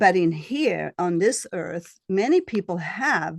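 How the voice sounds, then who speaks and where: In a slight Swedish accent, a woman talks. Her pace is fairly slow. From Sweden. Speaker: astrologer and shamanic healer. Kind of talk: interview. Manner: halting.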